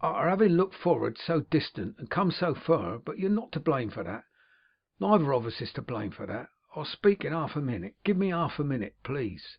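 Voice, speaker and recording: A man's put-on character voice, raspy and fairly high, at a moderate pace with very wide pitch swings and big swings in loudness. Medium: read story. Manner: deliberate, affectionate.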